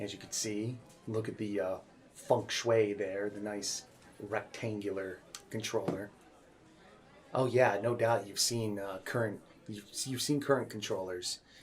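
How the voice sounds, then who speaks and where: Soft-spoken delivery with long, frequent pauses, big swings in loudness, and fairly even intonation. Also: man, fairly low pitch for a man. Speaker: ASMR creator. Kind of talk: ASMR game store roleplay, personal attention. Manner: soft-spoken, friendly, conversational.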